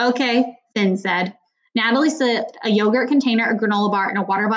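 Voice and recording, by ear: Over a quiet background, someone reads aloud in a natural voice.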